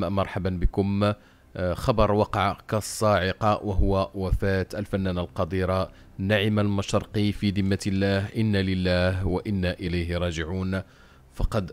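A man's fairly low voice with a Moroccan accent, flat and monotone, on a very clean recording with a silent background. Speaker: news channel presenter. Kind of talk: news reading.

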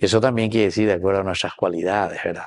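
This man has a low-pitched voice with a slightly mellow tone and fairly even intonation.

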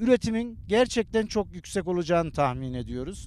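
A man talks in a high voice with lively intonation, the sound dry with no echo. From Turkey. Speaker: beekeeper and honey trader. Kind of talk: interview answers. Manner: hesitant, many fillers. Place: open country. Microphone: handheld.

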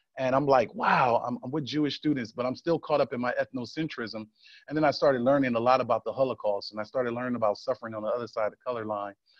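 Speaking very fast with an American accent, a man keeps his intonation fairly even. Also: medium pitch for a man. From North Philadelphia. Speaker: civil rights official. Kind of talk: talk to an audience.

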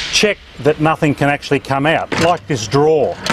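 There is noticeable background noise behind this man. He talks at a moderate pace. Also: dry sound with no echo. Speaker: presenter. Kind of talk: tutorial. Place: street.

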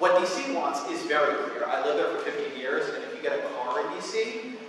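A man's fairly quick speech in a room with strong echo and light background noise. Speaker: journalist. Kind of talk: lecture talk. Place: hall.

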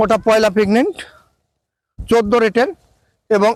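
The sound is dry and close with no echo as a man talks at a high pitch with fairly even intonation. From Bangladesh, Meherpur district. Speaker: sheep farmer. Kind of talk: sales pitch.

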